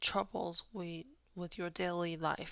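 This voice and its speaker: A woman with a Taiwanese accent speaks at a very slow pace and a medium pitch. The recording is very clean, with a silent background. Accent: Taiwanese Mandarin-accented English. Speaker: podcast host. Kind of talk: personal storytelling monologue. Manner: halting, with frequent fillers.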